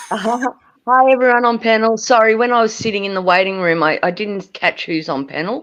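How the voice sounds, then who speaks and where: Lively intonation from a woman with an Australian accent, her fairly high pitch and moderate pace set against a quiet background. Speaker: livestream panelist. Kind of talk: casual chat. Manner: animated.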